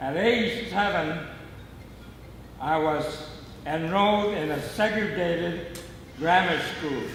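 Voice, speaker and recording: A man with an American accent and a high voice, ordinary pitch variation, a very slow pace with long, frequent pauses, audible room echo and noticeable background noise. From US West Coast, Los Angeles area. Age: 80s+. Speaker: birthday honoree telling life story. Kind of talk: personal memoir speech.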